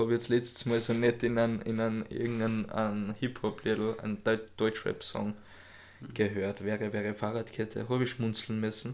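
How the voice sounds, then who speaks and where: A man's intonation stays monotone and flat as he talks at a moderate pace. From Austria. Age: 20s. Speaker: podcast co-host. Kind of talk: casual chat.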